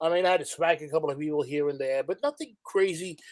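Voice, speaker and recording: In a New York accent, a man talks at a high pitch with lively intonation. The sound is dry and close, with no echo. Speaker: former club security worker. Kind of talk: casual chat.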